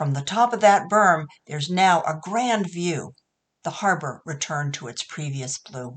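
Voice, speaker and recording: Speaking with an American accent, a woman uses a plain, everyday voice, fairly low in pitch, with lively intonation at a fairly slow pace. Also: big swings in loudness. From New England, US. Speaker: poet. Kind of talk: poetry reading; spoken explanation of a poem.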